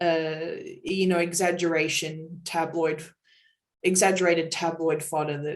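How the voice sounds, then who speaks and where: Through audible room echo, a woman speaks in a very deep, low pitch with monotone, flat intonation. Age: 20s. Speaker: fan community moderator. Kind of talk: interview. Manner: halting.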